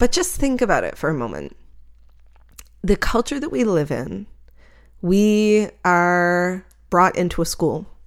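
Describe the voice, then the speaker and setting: Over a very clean recording with a silent background, a woman speaks at a medium pitch with lively intonation. Her pace is fairly slow, with long, frequent pauses. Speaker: podcast host and night photographer. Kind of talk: solo podcast monologue. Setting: home recording with microphone and computer. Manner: reflective, conversational.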